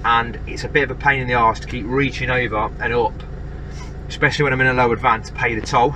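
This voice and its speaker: There is light background noise. A man speaks at a fairly quick pace. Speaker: road trip vlogger. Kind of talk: casual vlog chat. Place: car. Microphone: phone near.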